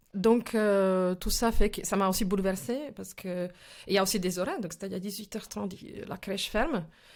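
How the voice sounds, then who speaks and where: A woman talks at a fairly quick pace and a medium pitch, with ordinary pitch variation and big swings in loudness. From former Czechoslovakia. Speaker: actress and film director. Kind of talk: interview answer. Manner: energetic, passionate.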